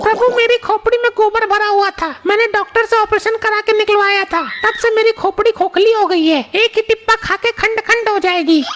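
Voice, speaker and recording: A cartoonish character voice, female-sounding and extremely high-pitched, delivered at a fairly quick pace over clear background noise. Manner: loud, sassy, argumentative.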